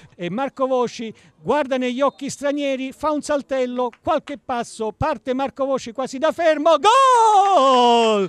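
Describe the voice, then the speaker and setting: Extremely high in pitch, a man's voice moves at a fairly slow pace. The sound is dry and close, without echo. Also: ordinary pitch variation. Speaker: football commentator and interviewer. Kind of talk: live commentary. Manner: excitable.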